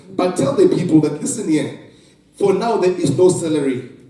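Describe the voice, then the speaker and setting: A man speaks with ordinary pitch variation. Audible room echo and noticeable background noise are present. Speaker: pastor and school counselor. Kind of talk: motivational talk.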